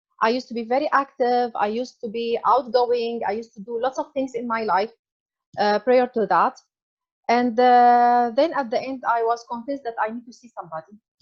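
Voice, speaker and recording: At a fairly quick pace, a woman speaks in a high pitch with a non-native accent. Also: fairly even intonation. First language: not English. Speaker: author sharing personal health story. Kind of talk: interview testimony. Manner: halting, many fillers.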